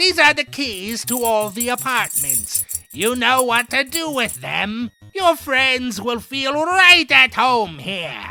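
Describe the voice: A put-on character voice speaks at a fairly high pitch and a fairly slow pace. Faint music plays in the background.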